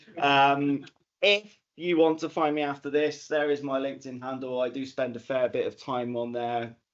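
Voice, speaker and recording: A medium-pitched man's voice with a Bristol accent and fairly even intonation. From England, Bristol. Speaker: data analytics consultant. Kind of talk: conference talk.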